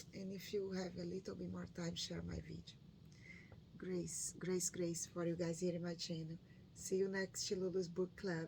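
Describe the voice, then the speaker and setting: A woman speaks with a Brazilian Portuguese accent. Her pace is moderate. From northeastern Brazil. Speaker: book reading YouTuber. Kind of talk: reading aloud; casual chat. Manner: halting.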